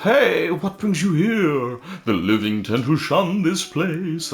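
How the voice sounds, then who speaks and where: A man's put-on character voice, high-pitched and at a fairly slow pace. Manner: spooky, eerie.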